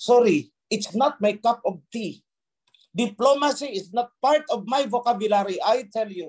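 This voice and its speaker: Someone speaks at a moderate pace in a stern tone. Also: man. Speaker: religious leader. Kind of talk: sermon. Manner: stern, forceful.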